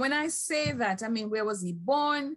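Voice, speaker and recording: A woman's somewhat breathy, fairly high voice, at a fairly slow pace, with very wide pitch swings. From Jamaica. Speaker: history professor moderating a panel. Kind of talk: panel discussion. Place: home room. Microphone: video call.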